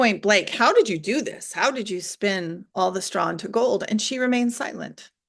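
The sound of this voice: The speech comes in an unforced reading voice. It is read aloud.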